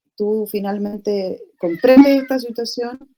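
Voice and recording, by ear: A woman talks with a dark, mellow tone. Her pitch varies in an ordinary way.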